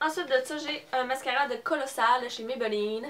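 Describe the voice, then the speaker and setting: High pitch from a woman, her pitch varying in an ordinary way. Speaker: beauty vlogger. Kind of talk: haul video with giveaway. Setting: at home, parents in background. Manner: hesitant, many fillers.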